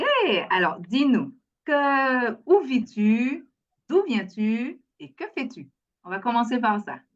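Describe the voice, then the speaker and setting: A woman speaks very slowly at a high pitch, with very wide pitch swings, big swings in loudness and long, frequent pauses. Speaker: children's book creator and interviewer. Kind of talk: interview host talk.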